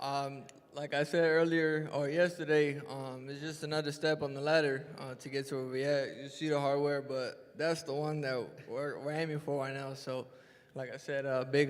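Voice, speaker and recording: A man with an American accent talks at a moderate pace in a monotone, flat intonation. Audible room echo surrounds his voice. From South Central Los Angeles. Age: young. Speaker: boxer. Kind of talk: press conference interview.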